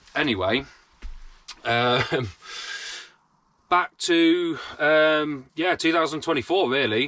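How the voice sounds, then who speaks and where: This man's tone is bright and sharp. His intonation is lively. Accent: British. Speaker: vlogger. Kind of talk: casual chat. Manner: sounds angry.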